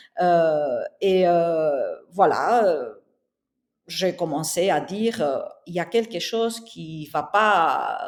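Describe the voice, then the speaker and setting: A woman talks at a very slow pace, her loudness swinging widely. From southern Spain. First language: Spanish (speaking French). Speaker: interior architect and entrepreneur. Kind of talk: podcast interview.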